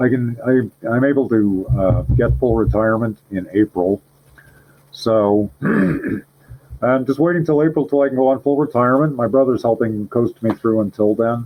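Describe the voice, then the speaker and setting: This is an ordinary speaking voice with ordinary pitch variation at a moderate pace. The loudness stays very even. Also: man, medium pitch for a man. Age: 60s. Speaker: paranormal podcast guest, author. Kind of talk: casual chat.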